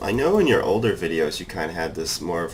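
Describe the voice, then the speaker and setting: A man with a slight Massachusetts accent at a fairly quick pace, over noticeable background noise. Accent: little Massachusetts. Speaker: gamer. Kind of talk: casual chat while gaming.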